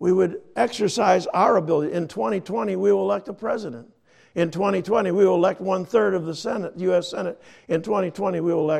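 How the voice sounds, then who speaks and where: A man talks with a high pitch. His pace is fairly quick. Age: 70s. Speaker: pastor. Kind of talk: sermon. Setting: church.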